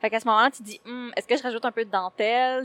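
A woman speaks in a dry, close sound with no echo. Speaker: cosplayer. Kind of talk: interview. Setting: convention floor.

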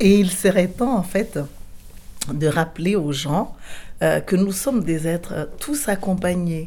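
A woman with a fairly low pitch and a dark, mellow tone speaks very slowly, with lively intonation and long, frequent pauses. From Madagascar. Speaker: shaman and spiritual teacher. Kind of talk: interview. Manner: halting, many hesitations.

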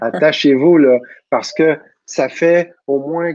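A man talks with a Quebec accent and fairly even intonation. The sound is dry and close, with no echo. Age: 40s. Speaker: personal growth teacher. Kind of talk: casual talk, live online talk. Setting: video call, live stream.

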